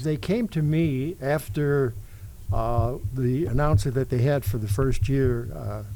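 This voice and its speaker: At a fairly slow pace, a man with an American accent talks in a medium pitch with a dark, mellow tone. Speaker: radio DJ and former sports public address announcer. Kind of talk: interview answer, casual storytelling.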